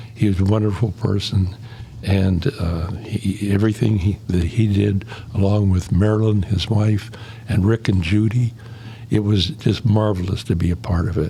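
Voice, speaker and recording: A man with an American accent, fairly low in pitch, with very even loudness and fairly even intonation, over noticeable background noise. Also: moderate pace. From Pittsburgh area, US. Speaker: former college residence head. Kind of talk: podcast interview.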